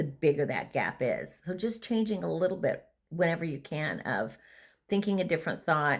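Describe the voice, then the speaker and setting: On a very clean recording with a silent background, a woman with a fairly low pitch and vocal fry speaks at a moderate pace with lively intonation. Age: 60s. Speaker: vlogger and former prison treatment provider. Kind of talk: casual monologue. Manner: halting.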